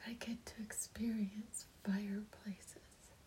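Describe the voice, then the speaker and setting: The voice is whispering. Its tone is gentle and soothing. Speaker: meditation guide leading prayer. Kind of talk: guided meditation and prayer, spoken as gratitude addressed to the divine. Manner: gentle, reverent, soothing, repetitive cadence.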